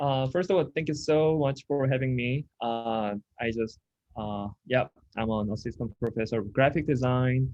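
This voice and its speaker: A man speaks with a Korean accent. His pitch variation is ordinary. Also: medium pitch for a man, moderate pace. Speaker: design professor. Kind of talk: lecture presentation. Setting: video call with screen share.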